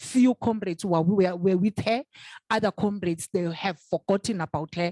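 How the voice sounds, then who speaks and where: A woman speaks at a fairly slow pace with a medium pitch, a dark, mellow tone and fairly even intonation. The recording is very clean with a silent background, its sound dry and close with no echo. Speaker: event facilitator. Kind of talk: commemorative event speech. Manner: halting, many fillers and repetitions.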